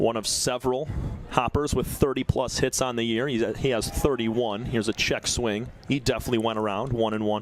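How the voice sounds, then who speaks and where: A man's monotone, flat delivery against noticeable background noise. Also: medium pitch for a man, fairly quick pace. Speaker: baseball play-by-play announcer. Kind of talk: baseball play-by-play broadcast.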